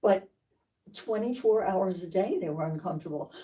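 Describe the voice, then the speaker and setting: A woman speaks in a somewhat breathy voice with a dark, mellow tone. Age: 80s+. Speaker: patient. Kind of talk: testimony.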